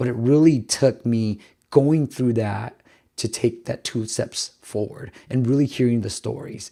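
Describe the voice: A man talks at a fairly slow pace and medium pitch, with ordinary pitch variation and a dark, mellow tone. His voice is raspy with vocal fry, in a very clean recording with a silent background.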